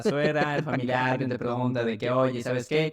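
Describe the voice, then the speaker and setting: At a medium pitch, a man keeps to a moderate pace. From Mexico City. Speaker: medical student and paramedic. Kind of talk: podcast interview. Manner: hesitant, with repetitions.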